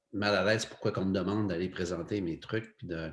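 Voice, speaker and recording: A man's fairly low voice at a moderate pace, with ordinary pitch variation, in a very clean recording over a silent background. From Quebec, Lac-Saint-Jean (Saguenay region). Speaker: photographer and TV cameraman. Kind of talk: casual interview chat. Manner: hesitant, many fillers.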